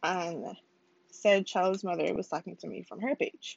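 This woman speaks at a fairly slow pace. Her pitch variation is ordinary. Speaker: podcast host. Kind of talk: personal storytelling monologue. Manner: casual, with frequent fillers.

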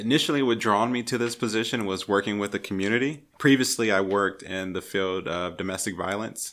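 In a very clean recording with a silent background, a man with an American accent talks at a fairly quick pace in a normal speaking voice, his fairly low pitch showing ordinary variation. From California. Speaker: emergency management program specialist. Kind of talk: interview. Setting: conference room.

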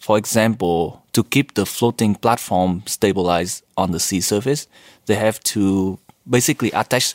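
Moderately paced speech from a man with a Vietnamese accent, fairly low in pitch with ordinary variation, in a very clean recording with a silent background and a dry, close sound with no echo. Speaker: PhD student, team leader. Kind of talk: interview. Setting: recording in Sweden.

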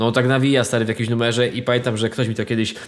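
Captured on a very clean recording with a silent background, a man speaks at medium pitch. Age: 30s. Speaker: podcast co-host. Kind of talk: casual chat. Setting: at home.

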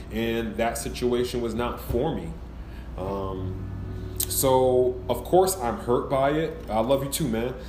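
A man speaks at a very slow pace. Noticeable background noise runs beneath him. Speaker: podcast host. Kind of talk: live storytelling chat. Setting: live stream. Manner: animated; soft-spoken delivery, not his natural voice.

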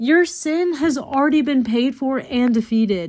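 A woman with an American accent speaks at a fairly slow pace in a high pitch. Her tone is animated, with very wide pitch swings. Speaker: evangelist podcaster. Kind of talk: devotional podcast monologue.

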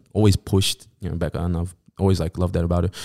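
A man with a Sydney accent talks at a very fast pace in a dark, mellow tone, on a very clean recording with a silent background and a dry, close sound with no echo. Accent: Australian (Sydney). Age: 20s. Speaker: DJ and music producer. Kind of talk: casual chat.

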